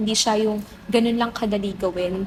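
Fairly high female voice with fairly even intonation over noticeable background noise. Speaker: theater actor. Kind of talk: interview.

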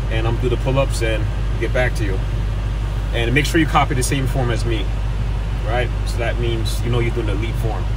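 A man talks at a fairly quick pace. Noticeable background noise is present. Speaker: fitness creator. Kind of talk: casual vlog chat. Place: car. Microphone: phone near.

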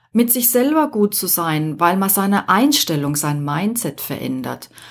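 Recorded very cleanly against a silent background, a woman speaks at a very slow pace with very wide swings in pitch. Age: 50s. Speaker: podcast host, life coach. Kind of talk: solo podcast monologue.

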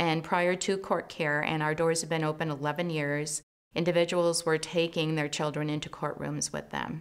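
With an American accent, a woman speaks in a very deep, low, monotone, flat voice at a moderate pace against a quiet background. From US Midwest, Chicago suburbs; Illinois. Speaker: community leader. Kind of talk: interview. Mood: calm, proud. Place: studio.

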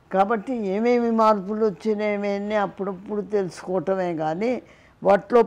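The intonation holds fairly even in a dark, mellow tone. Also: woman. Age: 80s+. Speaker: physics professor. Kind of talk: interview answer. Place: home room. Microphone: lapel.

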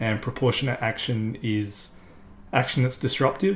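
With an Australian accent, a man talks at a moderate pace in a somewhat breathy voice of medium pitch with ordinary pitch variation. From South Australia. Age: 30s. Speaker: climate activist. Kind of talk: interview monologue. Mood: earnest, firm conviction. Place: home room.

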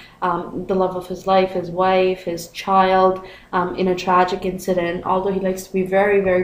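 Amid noticeable background noise, a woman of medium pitch talks at a moderate pace in a monotone, flat intonation. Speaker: video blogger. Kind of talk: casual talk to camera.

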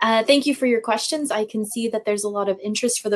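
The speaker is a woman with a medium pitch. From USA. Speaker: university international office staff. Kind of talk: webinar talk. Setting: video call. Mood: friendly, appreciative. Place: office. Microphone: video call.

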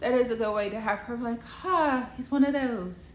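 With light background noise and audible room echo, a woman talks at a moderate pace with lively intonation. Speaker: wellness coach and speaker. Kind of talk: casual advice talk to camera. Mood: playful, sassy, smiling. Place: home room. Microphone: phone near.

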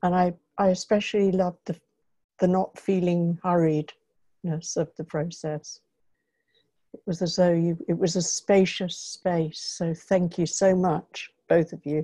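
Against a quiet background, a woman speaks at a fairly slow pace. Her pitch is fairly low and her intonation monotone and flat. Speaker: workshop participant. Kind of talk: personal sharing in online workshop. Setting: video call. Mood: warm, grateful. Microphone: video call.

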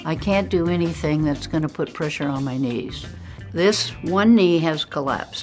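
A woman at a moderate pace with very wide pitch swings, faint music in the background. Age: 80s+. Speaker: gym client. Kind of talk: interview answer. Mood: upbeat, enthusiastic. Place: gym.

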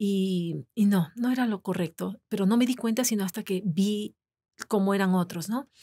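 A woman's somewhat breathy voice, dark and mellow in tone, with ordinary pitch variation. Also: moderate pace. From Ecuador. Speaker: podcast guest. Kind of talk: interview. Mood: personal, reflective. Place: studio. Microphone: studio mic.

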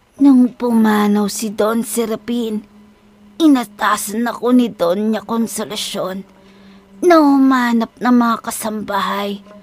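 Her tone is calm, with fairly high pitch and ordinary pitch variation. The woman speaks at a moderate pace. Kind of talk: horror storytelling. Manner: motherly, calm.

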